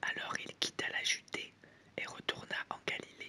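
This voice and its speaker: Someone is whispering at a fairly slow pace. There is noticeable background noise. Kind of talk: whispered Bible reading for sleep. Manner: whispered.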